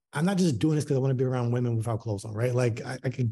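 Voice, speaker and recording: A man with an American accent speaks in a somewhat breathy, dark, mellow tone. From US Mid-Atlantic (Baltimore). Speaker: boudoir photographer, studio owner. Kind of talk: interview. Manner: many fillers and repetitions.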